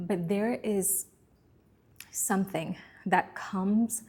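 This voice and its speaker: Fairly even in intonation, a woman's somewhat breathy voice has a dark, mellow tone. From Bermuda. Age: 30s. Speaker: self-help vlogger. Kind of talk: personal reflective monologue.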